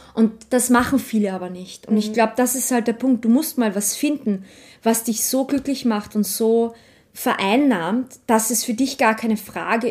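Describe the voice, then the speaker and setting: Speaking at a moderate pace, a woman uses a fairly high, somewhat breathy voice with fairly even intonation. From Austria, Vienna. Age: 30s. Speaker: archivist and artist. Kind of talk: casual interview. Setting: at home.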